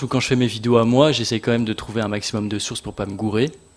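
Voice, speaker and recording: A man speaks with ordinary pitch variation. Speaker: youtuber. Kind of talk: panel talk. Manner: fast.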